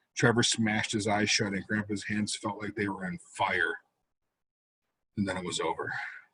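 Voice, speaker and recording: Somewhat breathy, a man talks at a moderate pace. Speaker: author. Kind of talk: horror short story reading.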